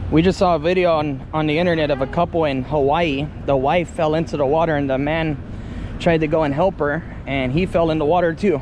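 A flat, monotone delivery at a fairly quick pace, with a dry, echo-free sound and light background noise. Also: man. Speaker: travel vlogger. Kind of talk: casual vlog chat. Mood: cheerful, laughing. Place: boat. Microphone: phone near.

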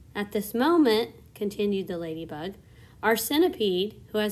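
The reading voice is unforced, with intonation that stays lively.

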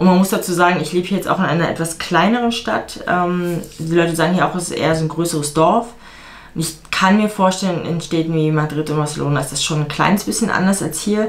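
Talking at a very fast pace, a woman uses a fairly low pitch with ordinary pitch variation. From Germany. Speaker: vlogger and fitness coach; vlogger, fitness coach. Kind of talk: casual vlog talk to camera. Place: home room. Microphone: camera far.

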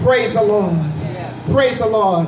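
A woman's voice over noticeable background noise. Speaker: evangelist preacher. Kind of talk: fervent outdoor festival prayer and altar call, call-and-response exhortation. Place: street. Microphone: pa.

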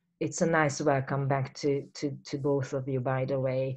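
A woman with a Hungarian accent, very deep, low pitch and monotone, flat intonation against a quiet background. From Hungary. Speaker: poetry reading host and curator. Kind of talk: event introduction and hosting. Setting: video call. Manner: halting, many fillers. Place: home room. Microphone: webcam.

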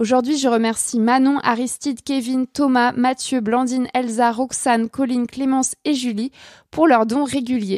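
A woman's high-pitched, monotone voice with flat intonation, at a fairly slow pace, dry and close with no echo. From France. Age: 20s. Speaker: podcast host, journalist. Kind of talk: sponsor thanks and outro; casual personal monologue. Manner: hesitant with many fillers.

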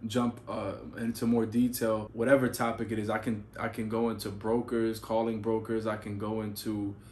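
A man speaks at a moderate pace in a flat monotone, with hardly any pauses and light background noise. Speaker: freight dispatch educator. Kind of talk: casual vlog chat. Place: home room.

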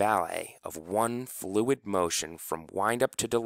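The speaker has a natural reading voice whose pitch varies in an ordinary way.

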